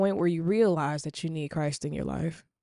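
A woman with a dark, mellow tone and fairly low pitch speaks at a moderate pace in a dry, close recording with no echo and a quiet background. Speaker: podcast host. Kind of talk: prayer and devotional talk. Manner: informal, hesitant with fillers.

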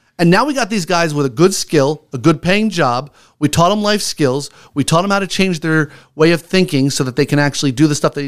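This man speaks with a fairly high pitch and ordinary pitch variation. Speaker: homeless mission executive director. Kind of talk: radio interview. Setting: radio studio. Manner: loud and animated when excited.

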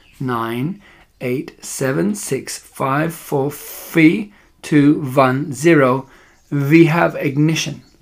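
A man puts on a character voice at a fairly high pitch, with vocal fry. He talks at a very slow pace with ordinary pitch variation.

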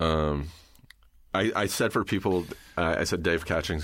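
On a very clean recording with a silent background, a man with an American accent and a very deep, low voice speaks at a moderate pace with fairly even intonation. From Southern California, Riverside. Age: 40s. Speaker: podcast host, comedian. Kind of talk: casual chat. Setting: studio. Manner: halting, many fillers.

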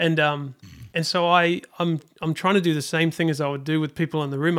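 Someone with a New Zealand accent speaks with ordinary pitch variation in a very clean recording with a silent background. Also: man. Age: 40s. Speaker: worship leader. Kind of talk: casual interview.

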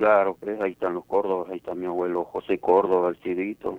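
A man speaks at a moderate pace in a very deep, low voice. His intonation stays monotone and flat. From Peru, Ica region (Palpa, Nazca). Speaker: interviewee, host's father. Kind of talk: casual chat.

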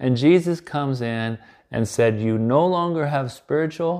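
Over a quiet background, a man with a dark, mellow tone speaks at a moderate pace with lively intonation. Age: 60s. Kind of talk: devotional Bible talk. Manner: halting.

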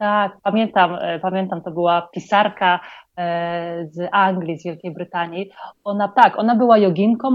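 A woman with a medium-pitched voice talks at a moderate pace, her pitch varying in an ordinary way. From Poland. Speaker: psychologist and project founder. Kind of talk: interview. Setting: online call from Colombia.

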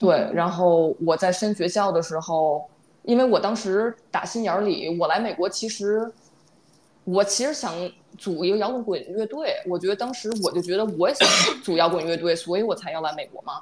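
A woman's plain, everyday voice, medium in pitch, at a moderate pace with ordinary pitch variation. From China, Beijing. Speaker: podcast co-host, data worker. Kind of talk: casual chat.

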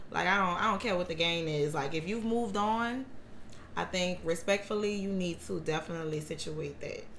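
Over noticeable background noise and audible room echo, a woman speaks at a fairly quick pace in a fairly low pitch with ordinary pitch variation. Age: 30s. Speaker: hairstylist. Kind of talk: casual chat.

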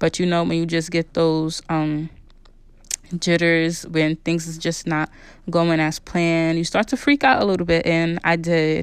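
On a very clean recording with a silent background, a woman with a fairly low pitch and an ordinary speaking voice talks at a fairly slow pace with fairly even intonation. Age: 30s. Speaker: podcast host. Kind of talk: casual personal monologue.

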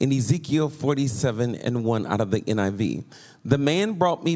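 With an animated tone and lively intonation, a man speaks at a medium pitch. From United States. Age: 50s. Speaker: pastor. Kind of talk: sermon.

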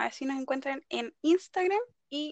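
In a Chilean accent, a woman speaks at a fairly slow pace with a high pitch and ordinary pitch variation. The sound is dry and close, with no echo. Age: 20s. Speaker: law student, podcast co-host. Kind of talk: casual chat.

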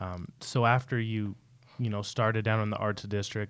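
Recorded very cleanly against a silent background, a man with an American accent uses an unremarkable speaking voice, fairly low in pitch, at a moderate pace. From Salt Lake City, Utah. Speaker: podcast host. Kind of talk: interview.

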